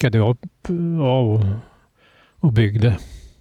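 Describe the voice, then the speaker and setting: The man speaks very slowly. His tone is dark and mellow, and somewhat breathy. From Stockholm archipelago, summers since childhood. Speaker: islander interviewee. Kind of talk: casual interview chat. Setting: outdoors on a terrace. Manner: halting, with repetitions.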